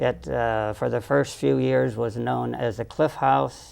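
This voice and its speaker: Against noticeable background noise, a man with a fairly low pitch makes very wide pitch swings. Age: 80s+. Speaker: author. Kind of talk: interview answer. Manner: lively.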